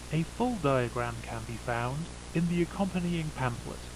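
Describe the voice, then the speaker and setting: Moderately paced speech from a man amid noticeable background noise. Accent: British. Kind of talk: eerie public safety announcement.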